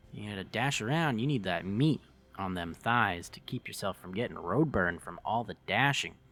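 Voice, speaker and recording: A man with a fairly low pitch has a bright, sharp tone and lively intonation. His loudness swings widely. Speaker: hobby video creator. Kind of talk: voiceover commentary on a speed build. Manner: fast; casual, filler-heavy.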